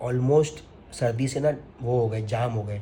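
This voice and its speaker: This is a man speaking. His pitch is medium. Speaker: family vlogger. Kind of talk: personal vlog monologue. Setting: at home.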